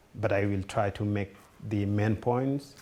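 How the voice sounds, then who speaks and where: Somewhat breathy, a man speaks in a fairly low pitch with a dark, mellow tone. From Sudan, Darfur. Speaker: refugee speaker. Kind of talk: talk to students. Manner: halting, many fillers.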